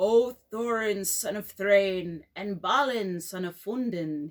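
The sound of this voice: In a put-on character voice, the speaker sounds croaky at a middle pitch and a fairly slow pace.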